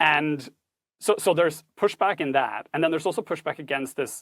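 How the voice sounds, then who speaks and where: Dry and close with no echo, this voice carries a Norwegian accent, a moderate pace and fairly even intonation. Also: man. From Norway. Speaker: tech ethics instructor and author. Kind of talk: podcast interview. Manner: formal, precise wording.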